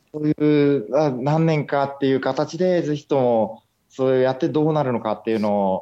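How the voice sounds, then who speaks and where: With a dark, mellow tone and fairly high pitch, a man speaks at a moderate pace with ordinary pitch variation. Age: 20s. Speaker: aquarium director. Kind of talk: interview. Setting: Skype call. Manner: hesitant with fillers.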